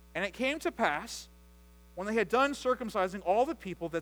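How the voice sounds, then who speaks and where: The pitch of a man's voice swings very widely. He keeps up a fairly quick pace. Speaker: preacher. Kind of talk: sermon with scripture reading. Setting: church. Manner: measured, formal, earnest.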